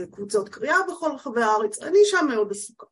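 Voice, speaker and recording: A woman speaks with ordinary pitch variation. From northern Israel, kibbutz. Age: 60s. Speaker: literary critic. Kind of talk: casual conversation.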